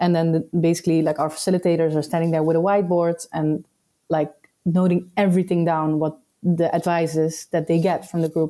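A dark, mellow tone in a Dutch accent, delivered monotone and flat at a fairly quick pace. Loudness stays very even on a very clean recording with a silent background. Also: woman, fairly low pitch for a woman. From Netherlands. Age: 30s. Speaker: entrepreneur. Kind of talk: casual chat.

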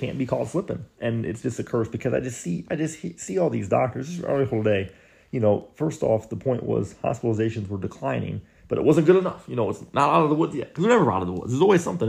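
In an animated tone, a man speaks at a very fast pace with medium pitch, lively intonation and vocal fry. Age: 20s. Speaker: podcast host. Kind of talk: casual chat.

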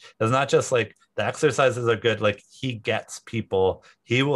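A man speaks at a moderate pace with fairly even intonation in a plain, everyday voice over a quiet background. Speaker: tech company founder and CEO. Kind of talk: interview.

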